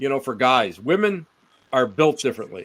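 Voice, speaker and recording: With an American accent, a man talks at a moderate pace in an ordinary speaking voice, fairly high in pitch with lively intonation. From Western New York State. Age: 60s. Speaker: paranormal researcher. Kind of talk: casual chat.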